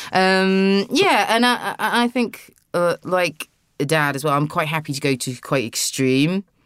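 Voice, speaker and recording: This very clean recording, with a silent background, features a voice with a British accent. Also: fairly slow pace. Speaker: actor and writer. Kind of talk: casual interview chat. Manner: halting, with repeated words.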